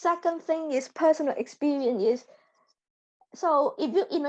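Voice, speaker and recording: Speaking at a fairly slow pace, a woman with a Hong Kong accent uses lively intonation. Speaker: data scientist. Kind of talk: interview testimony. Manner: halting, repetitive.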